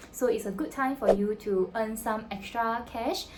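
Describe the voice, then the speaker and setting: In a Singaporean accent, a woman with a fairly high pitch speaks at a moderate pace in a somewhat breathy voice. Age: 20s. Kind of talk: casual talk to camera.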